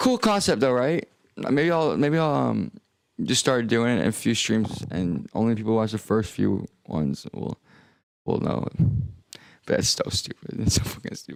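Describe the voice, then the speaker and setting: Long, frequent pauses from a man speaking at a moderate pace. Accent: American. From United States. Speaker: music producer streamer. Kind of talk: casual livestream chat. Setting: livestream.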